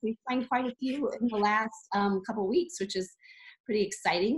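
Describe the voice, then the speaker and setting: The pace is moderate. The voice is somewhat breathy. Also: woman. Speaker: sales team leader training new reps. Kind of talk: training call. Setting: conference call. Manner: hesitant, many fillers.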